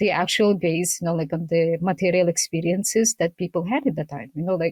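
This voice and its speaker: Fairly quick and somewhat breathy, a woman speaks at a fairly low pitch in a dry, close sound with no echo. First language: not English (English is her third language). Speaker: researcher and podcast host. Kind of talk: casual interview conversation.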